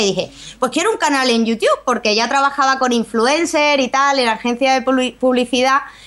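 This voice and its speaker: Over noticeable background noise, a woman speaks at a fairly quick pace in a high pitch with ordinary pitch variation. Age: 30s. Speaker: youtuber. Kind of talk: interview.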